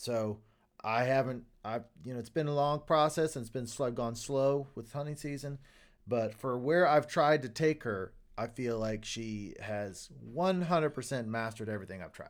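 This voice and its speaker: In a very clean recording with a silent background, a man with a plain, everyday voice speaks at a moderate pace and medium pitch, with ordinary pitch variation and big swings in loudness. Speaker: co-host, duck hunter. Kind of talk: casual interview chat.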